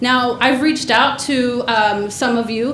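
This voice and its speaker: A woman with a high pitch and fairly even intonation talks over noticeable background noise, with audible room echo. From Mexico. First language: Spanish. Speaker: community organizer / public commenter. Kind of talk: public comment at government meeting. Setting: county board meeting chamber. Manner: impassioned, direct.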